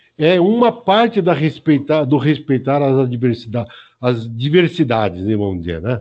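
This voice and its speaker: This man's voice sits fairly high in pitch and swings very widely. He speaks at a fairly slow pace. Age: 70s. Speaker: martial arts teacher and physiotherapist. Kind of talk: casual interview.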